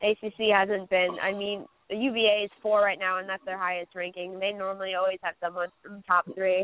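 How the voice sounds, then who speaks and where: In an American accent, a woman speaks at a medium pitch and moderate pace, with hardly any pauses. Her intonation stays flat and monotone while her loudness swings widely. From Albany, New York. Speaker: college student and basketball commentator. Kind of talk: casual sports talk.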